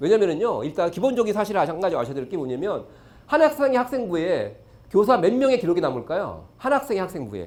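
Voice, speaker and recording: A man with a high pitch races along at a very fast pace, his voice making very wide pitch swings amid audible room echo. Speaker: education lecturer. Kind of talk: lecture. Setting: stage with audience.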